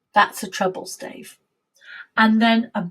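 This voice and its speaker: Speaking very slowly, a woman with a British accent uses a fairly high pitch. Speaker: music teacher. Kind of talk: lesson for young children.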